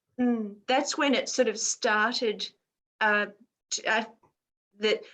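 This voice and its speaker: A woman with an Australian accent and a high pitch. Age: 60s. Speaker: children's mindfulness teacher. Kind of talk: casual chat. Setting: video call.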